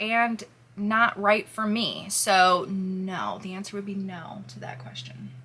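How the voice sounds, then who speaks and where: Through noticeable background noise, a woman speaks very slowly at a medium pitch with lively intonation. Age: 20s. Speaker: YouTuber vlogging with her partner. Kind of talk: casual Q&A chat.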